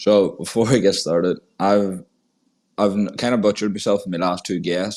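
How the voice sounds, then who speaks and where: A man speaks with monotone, flat intonation. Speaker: podcast host. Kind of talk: casual chat. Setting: online audio space recording.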